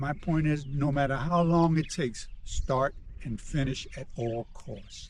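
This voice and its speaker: A man with an American accent and a fairly high pitch sounds somewhat breathy. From US, New York City. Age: 70s. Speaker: retired marathon runner and traveler. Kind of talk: interview.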